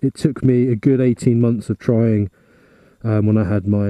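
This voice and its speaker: A man speaks in a dark, mellow tone with ordinary pitch variation. The sound is dry, with no echo. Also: quiet background. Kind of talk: casual vlog tutorial. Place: garage.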